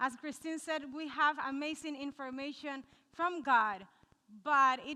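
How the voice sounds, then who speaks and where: A woman with a Cuban accent raises and projects her high-pitched voice, her tone animated, bright and sharp, with ordinary pitch variation. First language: Spanish. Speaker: nutritionist. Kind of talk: cooking demonstration talk to a live audience. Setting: live audience.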